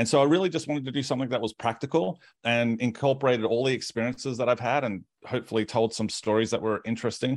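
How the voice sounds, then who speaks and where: Over a quiet background, a medium-pitched man with an Australian accent talks at a very fast pace with ordinary pitch variation. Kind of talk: casual interview chat. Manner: animated, humorous.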